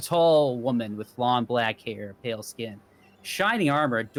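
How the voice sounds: The reading voice here sounds natural.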